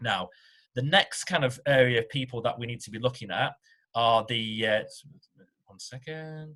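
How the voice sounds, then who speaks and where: A man with a British accent speaks at a moderate pace, his pitch medium with ordinary variation. His tone is bright and sharp, with big swings in loudness and long, frequent pauses. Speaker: tax accountant. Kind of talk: informational webinar talk.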